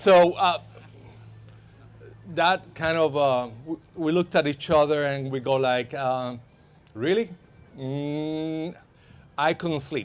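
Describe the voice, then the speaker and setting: A man with a Spanish accent speaks at a fairly high pitch with ordinary pitch variation, on a very clean recording with a silent background. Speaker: van lifer and safety instructor. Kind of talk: workshop talk. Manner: halting, many fillers.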